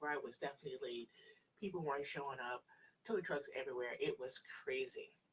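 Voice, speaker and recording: Soft-spoken, a woman talks at a fairly quick pace. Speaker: pagan practitioner livestream host. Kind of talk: live stream chat with viewers.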